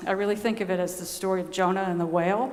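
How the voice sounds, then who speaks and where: A soft-spoken woman talks at a moderate pace with fairly even intonation and audible room echo. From US South, Georgia. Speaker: nun. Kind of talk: conference talk.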